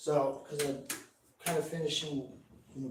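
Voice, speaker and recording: There is audible room echo as this man talks. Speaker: musician streamer. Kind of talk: casual live stream chat. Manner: halting, filler-heavy; laid back.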